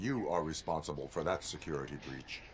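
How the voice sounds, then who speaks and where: A man speaks at a fairly quick pace in a put-on character voice with a very deep, low pitch, with clear background noise behind him. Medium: video game. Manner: flat, clipped, deadpan.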